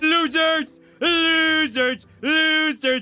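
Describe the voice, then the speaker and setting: This man puts on a character voice. His pitch is extremely high. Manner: taunting, jeering.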